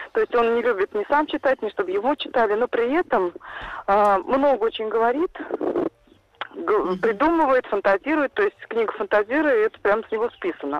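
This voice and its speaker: A woman with a fairly high pitch and lively intonation talks at a moderate pace with long, frequent pauses, over noticeable background noise. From Saransk, Russia. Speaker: caller, mother. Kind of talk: call-in question. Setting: phone call.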